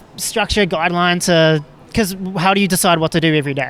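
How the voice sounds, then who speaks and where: A man with a New Zealand accent talks at a moderate pace over noticeable background noise. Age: 20s. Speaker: street interviewer and podcast host. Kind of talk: street interview.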